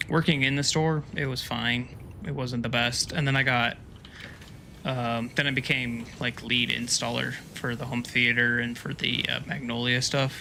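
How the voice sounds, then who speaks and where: A man with an American accent, fairly even intonation, and noticeable background noise. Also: medium pitch for a man, moderate pace. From US. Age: 40s. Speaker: gaming streamer. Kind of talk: casual chat. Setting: live stream. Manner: casual, many fillers.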